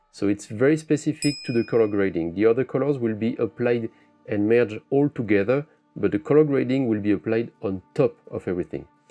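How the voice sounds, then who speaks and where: Music plays behind a man speaking at a medium pitch. His pace is fairly quick and his pitch varies in an ordinary way. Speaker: photographer. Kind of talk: tutorial. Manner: casual, thinking aloud.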